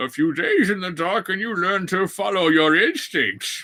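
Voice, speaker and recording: A man uses a put-on character voice at a high pitch and moderate pace. His voice is raised and projected. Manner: menacing, deadpan.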